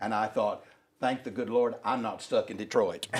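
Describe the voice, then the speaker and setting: A man speaks at a medium pitch in a Southern US accent. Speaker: workshop co-presenter. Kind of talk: anecdotal storytelling.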